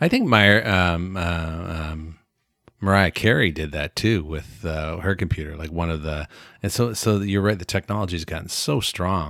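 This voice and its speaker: Speaking with a Canadian accent, a man with a very deep, low pitch keeps a moderate pace and fairly even intonation in a very clean recording with a silent background. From Canada.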